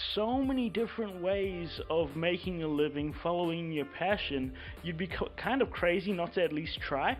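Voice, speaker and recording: With music in the background, a man with a high pitch talks at a moderate pace, using ordinary pitch variation and hardly any pauses. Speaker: podcast host. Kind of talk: podcast interview, host side.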